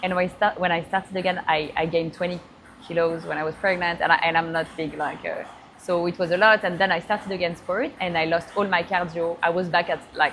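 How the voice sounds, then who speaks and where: A woman with a French accent, very fast pace, fairly low pitch and monotone, flat intonation, with music in the background. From France. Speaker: AI entrepreneur. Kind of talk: interview. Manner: halting.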